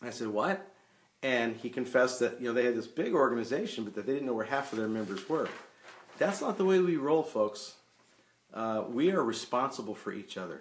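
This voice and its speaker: A man's unremarkable speaking voice, medium in pitch, with lively intonation and a fairly quick pace. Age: 60s. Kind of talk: live stream talk explaining a reporting form. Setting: Facebook live stream. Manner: conversational, repeats words when thinking.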